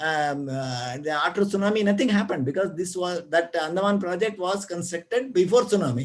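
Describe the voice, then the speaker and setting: A high-voiced man with an Indian accent, lively in intonation, at a fairly quick pace with hardly any pauses. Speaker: retired geologist. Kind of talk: lecture. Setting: video call. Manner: fast; halting.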